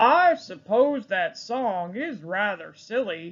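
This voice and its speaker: A put-on character voice with a fairly high pitch. It moves at a very slow pace. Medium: read story. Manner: plain, laconic.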